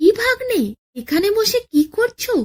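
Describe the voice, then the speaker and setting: This woman uses a put-on character voice. It is squeaky and sits at an extremely high pitch. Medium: read story. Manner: naive, boastful.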